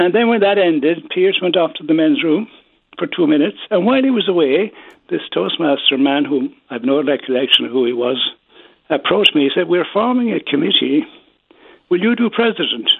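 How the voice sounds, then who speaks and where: Someone speaks at a fairly quick pace with a Kerry accent. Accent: Kerry Irish. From Ireland, County Kerry (Killarney). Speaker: former public speaking organization president. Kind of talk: interview with storytelling.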